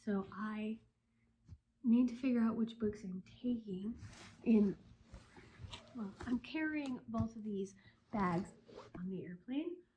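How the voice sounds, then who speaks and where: A woman speaks very slowly with long, frequent pauses in a somewhat breathy, fairly high voice with a dark, mellow tone, ordinary pitch variation and big swings in loudness. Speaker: book vlogger. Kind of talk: vlog. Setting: packing at home. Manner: casual, scattered.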